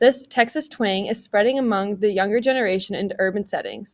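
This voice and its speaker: The woman has an unremarkable speaking voice at a fairly high pitch. Her intonation stays fairly even. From US Midwest. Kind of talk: class presentation.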